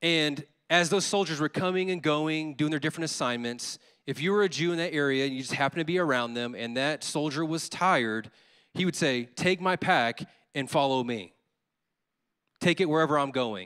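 In a very clean recording with a silent background, a man with an American accent speaks at a fairly quick pace. His tone is animated and bright, sharp, at a fairly high pitch with ordinary pitch variation. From Louisiana, US Deep South (Baton Rouge). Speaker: associate pastor. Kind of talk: sermon. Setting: church.

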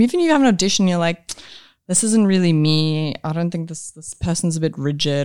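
With a South African accent, a woman speaks at a fairly low pitch with ordinary pitch variation, in a dry, close sound with no echo. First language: Afrikaans. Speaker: actress. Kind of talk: casual chat. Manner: animated, casual, swears.

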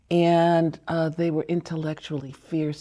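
This is a woman's voice with a very deep, low pitch. Her tone is dark and mellow. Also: very clean recording, silent background. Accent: American. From US (Chicago, Harlem). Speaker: doctor and activist. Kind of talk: interview. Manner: halting, many fillers.

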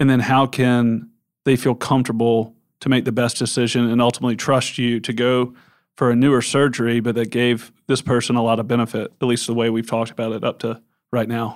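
Someone speaks at a moderate pace with a Southern US accent and monotone, flat intonation. The recording is very clean, with a silent background. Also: man. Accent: US South. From Memphis, Tennessee. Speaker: podcast host. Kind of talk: interview.

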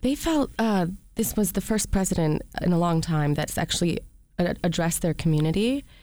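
A woman with an American accent speaks at a fairly quick pace in a dark, mellow tone, her loudness very even throughout. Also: fairly low pitch for a woman, lively intonation. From US Midwest, Detroit area. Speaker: documentary filmmaker. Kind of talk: radio interview. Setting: studio.

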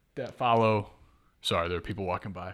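A man is captured on a very clean recording where the background is silent. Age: 20s. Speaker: college podcast co-host. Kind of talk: casual chat.

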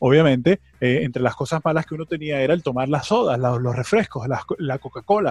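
In a dry, close sound with no echo, a man speaks fairly quickly with a fairly high pitch, a somewhat breathy quality and ordinary pitch variation. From Venezuela. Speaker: podcast host. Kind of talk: casual chat.

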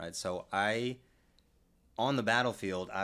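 A man with an American accent and fairly even intonation, on a very clean recording with a silent background. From Texas, San Antonio. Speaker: military veteran. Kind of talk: interview.

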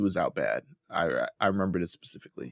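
The voice is animated and moves at a fairly quick pace. The recording is very clean, with a silent background and a dry, close sound with no echo. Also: man. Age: 30s. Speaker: podcast co-host recapping a reality competition show. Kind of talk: casual chat. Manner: animated, laughing often.

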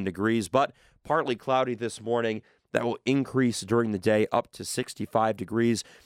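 A normal speaking voice at a moderate pace. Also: man, dry, close sound with no echo, very clean recording, silent background. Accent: American. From Michigan. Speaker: college radio host. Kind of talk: radio DJ patter. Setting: studio. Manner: upbeat, bantering.

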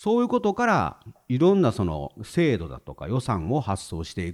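Vocal fry runs through this man's speech. The pitch of his voice swings very widely. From Hyogo, Himeji (Kansai). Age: 50s. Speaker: retired civil servant. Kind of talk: casual chat.

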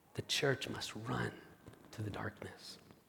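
A man whispers at a fairly slow pace. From Spain. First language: Spanish. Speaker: pastor. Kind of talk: sermon. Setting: church. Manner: halting.

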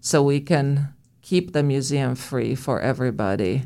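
A woman speaks in a very deep, low pitch with a Romanian accent. The recording is very clean, with a silent background. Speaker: museum director. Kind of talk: interview.

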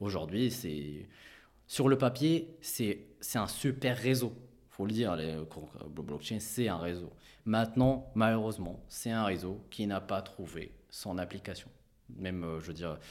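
Pausing long and often, a man talks at a fairly slow pace with lively intonation. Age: 30s. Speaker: fund manager. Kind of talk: interview. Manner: halting, many repetitions.

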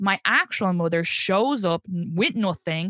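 In an Irish accent, a woman speaks at a medium pitch with a bright, sharp tone and ordinary pitch variation, the sound dry and close with no echo and the background quiet. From Ireland. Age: 30s. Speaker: comedian. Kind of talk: casual interview chat. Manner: animated, casual, laughs often.

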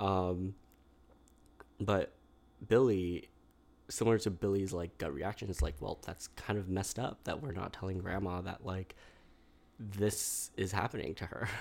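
In a very clean recording with a silent background, a man with an American accent speaks in a very deep, low pitch with ordinary variation, at a fairly slow pace with long, frequent pauses. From New York City. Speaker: school counselor and therapist. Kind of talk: casual chat. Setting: studio.

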